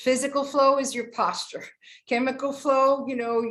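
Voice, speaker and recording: Audible room echo surrounds a woman as she talks. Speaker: teacher leading a class on health and peace. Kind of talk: online lecture with slides.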